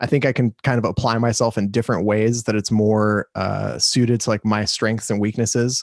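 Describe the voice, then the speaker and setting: A man with an American accent speaks at a fairly quick pace, fairly low in pitch, with hardly any pauses, a flat monotone and very even loudness. The recording is very clean with a silent background, dry and close with no echo. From Los Angeles, California. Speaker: guest, content creator. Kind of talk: casual interview chat.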